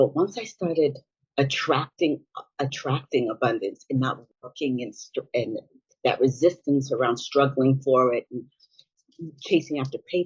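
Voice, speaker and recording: Somewhat breathy delivery at a moderate pace with ordinary pitch variation. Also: woman, very deep, low pitch for a woman. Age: 60s. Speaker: business coach, former nurse. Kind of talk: interview conversation. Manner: halting, with self-corrections.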